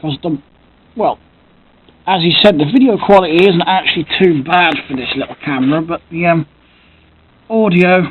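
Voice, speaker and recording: The speaker goes at a moderate pace with an English accent. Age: 30s. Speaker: Lego collector and YouTuber. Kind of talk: casual vlog monologue. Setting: home, camera close to face. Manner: speaks loudly to compensate for camera; hesitant, many fillers. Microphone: built-in camera mic, quiet audio.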